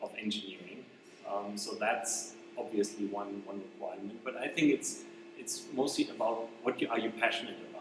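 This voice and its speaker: A man talks with a German accent and ordinary pitch variation. Noticeable background noise runs under his voice. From Germany. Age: 20s. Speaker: robotics PhD student. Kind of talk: interview. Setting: robotics lab. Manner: hesitant, many fillers.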